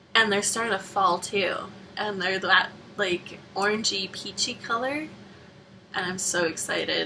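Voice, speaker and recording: In a Canadian accent, a woman speaks at medium pitch and a fairly slow pace, with ordinary pitch variation. Long, frequent pauses break up her speech, and noticeable background noise is present. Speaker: vlogger. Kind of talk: casual vlog monologue.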